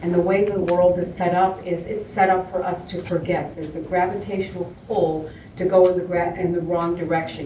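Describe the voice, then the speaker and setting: With hardly any pauses, a woman talks at a fairly quick pace and a fairly low pitch, amid noticeable background noise and audible room echo. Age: 60s. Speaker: holistic health educator. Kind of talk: acceptance speech.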